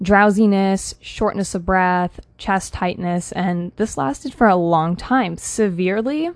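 Against a quiet background, a woman with an ordinary speaking voice talks fairly slowly at a medium pitch with ordinary pitch variation. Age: 20s. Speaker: holistic health coach and podcast host. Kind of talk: personal monologue podcast.

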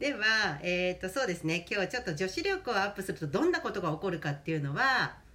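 The speech moves at a very fast pace amid noticeable background noise. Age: 50s. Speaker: podcast host. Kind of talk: casual chat. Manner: animated.

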